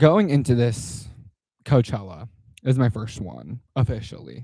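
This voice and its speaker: With a Southern California accent, the voice is dark and mellow, carries vocal fry, and moves with lively intonation. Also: man, medium pitch for a man, fairly slow pace. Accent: Valley Girl. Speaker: content creator. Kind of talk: casual vlog monologue.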